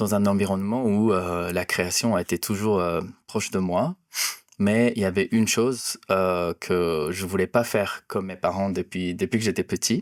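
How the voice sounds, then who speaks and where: In a Japanese accent, a man talks at a fairly low pitch, with a dry, close sound and no echo. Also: fairly even intonation, moderate pace, very clean recording, silent background. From Japan, near Osaka. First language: Japanese (speaking French). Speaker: cinematographer. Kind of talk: interview. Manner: halting, many hesitations.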